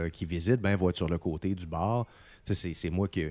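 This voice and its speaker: In a very clean recording with a silent background, a man with a Quebec accent speaks in a very deep, low voice of dark, mellow tone, his intonation fairly even and the sound dry and close with no echo. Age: 40s. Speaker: radio host. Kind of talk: casual chat. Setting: at home.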